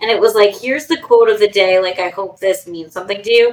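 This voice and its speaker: A normal speaking voice from a woman with an American accent, fairly high in pitch with lively intonation. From New York. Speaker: podcast host and ADHD coach. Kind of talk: casual interview chat.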